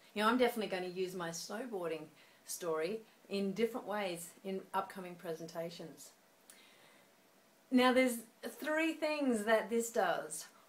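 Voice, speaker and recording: Pausing long and often, a woman speaks at a moderate pace in a medium pitch with lively intonation. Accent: Australian. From Australia. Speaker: speaking coach. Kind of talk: tutorial. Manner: conversational.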